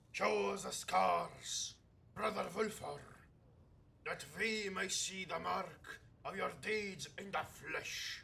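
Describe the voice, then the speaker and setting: A man drags out his words at a very slow pace in a put-on character voice. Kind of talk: solemn warrior oratory. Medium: game stream. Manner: declaiming, formal.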